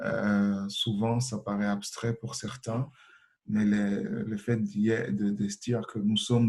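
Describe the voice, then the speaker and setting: A man speaks at a fairly slow pace in a fairly low pitch, his intonation flat and monotone. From Congo. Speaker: association president, refugee activist. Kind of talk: panel self-introduction. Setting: webinar. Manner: hesitant, many fillers.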